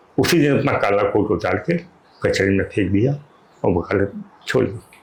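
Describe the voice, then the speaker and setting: A man's fairly low voice is somewhat breathy, with lively intonation. He keeps a moderate pace and very even loudness. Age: 70s. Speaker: writer and motivational speaker. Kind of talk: interview. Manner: limited speech ability.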